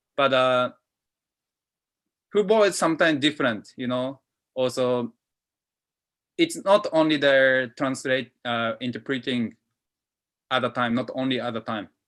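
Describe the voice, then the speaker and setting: A man speaks with a Japanese accent at a medium pitch and ordinary pitch variation. His pace is fairly slow, with long, frequent pauses. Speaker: football interpreter. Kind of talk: panel talk answering a question. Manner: halting, many fillers.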